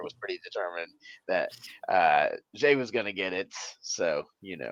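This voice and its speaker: Put-on character voice, raspy and at a moderate pace. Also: man. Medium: actual play. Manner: wry, understated.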